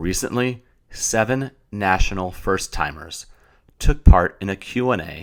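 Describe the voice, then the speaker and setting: A man is speaking. His intonation is lively. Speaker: podcast host. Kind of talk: podcast interview.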